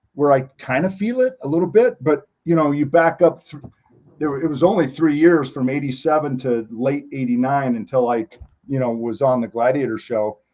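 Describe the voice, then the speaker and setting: With an American accent, a man speaks at a moderate pace in a dark, mellow tone, his pitch fairly high with ordinary variation. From Montana. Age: 60s. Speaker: former TV competition athlete. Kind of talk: interview.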